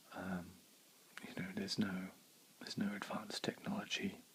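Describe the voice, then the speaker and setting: A man is whispering. His pace is fairly slow. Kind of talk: ASMR ramble while chewing gum. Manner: soft-spoken.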